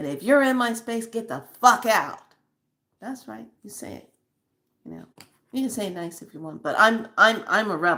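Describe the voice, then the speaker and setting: The voice is animated, bright and sharp, with lively intonation, vocal fry, big swings in loudness, a moderate pace and long, frequent pauses. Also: woman, fairly high pitch for a woman. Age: 60s. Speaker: spiritual channel host. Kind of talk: spiritual monologue.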